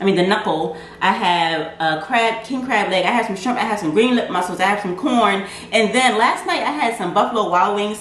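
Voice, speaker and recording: With light background noise and audible room echo, a woman speaks at a moderate pace. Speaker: food vlogger. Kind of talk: casual vlog chat. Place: kitchen. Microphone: camera far.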